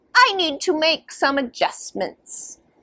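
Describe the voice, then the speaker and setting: A woman puts on a character voice pitched extremely high. She speaks at a fairly slow pace. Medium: read story. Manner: gentle, reassuring.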